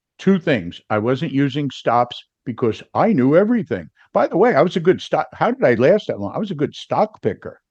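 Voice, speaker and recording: In an animated tone, a man with vocal fry speaks at a fairly high pitch that swings very widely. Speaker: futures trader and trading coach. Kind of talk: interview storytelling.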